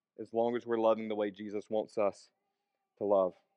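A man with a Southern US accent speaks at a fairly low pitch. The sound is dry and close, with no echo. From US South, northern Alabama and western Tennessee. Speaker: preacher. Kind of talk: sermon. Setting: church with congregation. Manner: casual, conversational with fillers.

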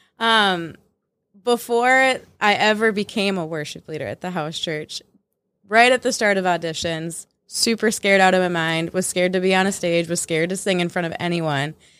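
A woman's medium-pitched, unremarkable speaking voice at a moderate pace, with ordinary pitch variation. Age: 20s. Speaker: church worship director. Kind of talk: casual chat.

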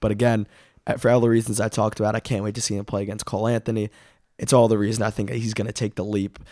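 On a very clean recording with a silent background, a man with a fairly low pitch and a dark, mellow tone talks at a very fast pace in a monotone, flat intonation. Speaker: basketball podcast host. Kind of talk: casual sports chat.

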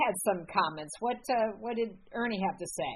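A woman speaks at a medium pitch with ordinary pitch variation. It is an ordinary speaking voice. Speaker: podcast host. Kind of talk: interview.

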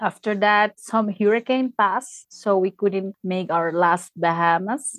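Delivered at a moderate pace with a Spanish accent, the voice has a dry, close sound with no echo. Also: woman. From Peru (Tacna, southern). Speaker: former cruise ship crew member. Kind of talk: casual interview, personal storytelling. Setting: remote call.

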